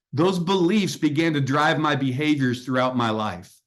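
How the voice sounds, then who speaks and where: Against a quiet background, a man with a plain, everyday voice speaks at a moderate pace, fairly high in pitch, with ordinary pitch variation. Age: 60s. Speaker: executive coach and author. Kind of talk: podcast interview.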